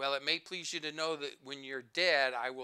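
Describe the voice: Fairly even intonation marks this plain reading aloud.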